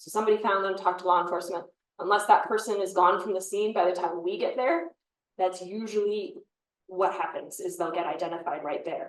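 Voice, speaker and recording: A woman with an American accent speaks in a plain, everyday voice at a fairly quick pace, her intonation fairly even and her loudness swinging widely. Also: medium pitch for a woman. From US Midwest, Chicago area. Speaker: forensic pathologist. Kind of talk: panel talk answering questions.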